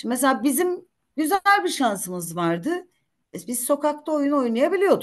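The pitch swings very widely at a moderate pace. The background is quiet. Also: woman, high pitch for a woman. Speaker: retired judge and lawyer; retired judge, lawyer. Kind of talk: career talk to law students. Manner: talkative. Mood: warm, anecdotal. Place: home room. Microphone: video call.

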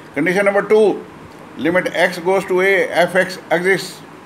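A man with a high pitch speaks at a fairly slow pace, with light background noise behind him. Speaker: maths teacher. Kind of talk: lecture. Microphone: phone near.

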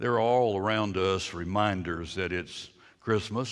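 Someone is doing plain reading aloud here.

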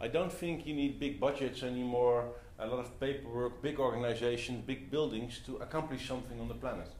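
A man speaks at a fairly quick pace with fairly even intonation, with audible room echo and light background noise. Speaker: speaker. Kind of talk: talk to audience. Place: meeting room. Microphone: camera far.

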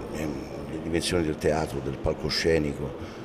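A man's fairly quick speech competes with noticeable background noise. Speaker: actor interviewed about a play. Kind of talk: interview answer. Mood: pleased, animated. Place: hall. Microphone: handheld.

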